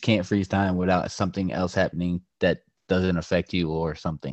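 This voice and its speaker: The voice belongs to a man. It sits very deep and low in pitch. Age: 20s. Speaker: podcast co-host. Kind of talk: casual chat. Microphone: poor audio quality.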